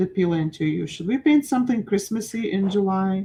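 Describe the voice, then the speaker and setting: At a moderate pace, a woman speaks at a medium pitch with lively intonation. Her tone is dark, mellow and somewhat breathy. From Ukraine. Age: 40s. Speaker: art teacher. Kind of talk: live-stream painting class. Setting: live stream. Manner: animated.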